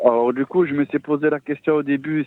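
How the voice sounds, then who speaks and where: A man with a southern French accent at a fairly quick pace. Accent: southern French (Midi). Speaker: caller. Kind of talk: testimony. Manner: halting.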